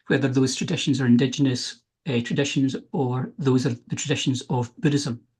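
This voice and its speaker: A man's medium-pitched, somewhat breathy voice at a fairly quick pace, with ordinary pitch variation. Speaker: philosophy researcher. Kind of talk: academic talk.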